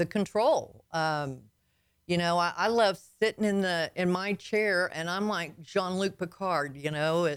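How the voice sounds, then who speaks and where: A woman speaks in a fairly low pitch with ordinary pitch variation and a slight Southern US accent. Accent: slight Southern twang. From Arkansas. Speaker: logistics business owner, author. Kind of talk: radio interview. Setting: radio studio. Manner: halting, many fillers.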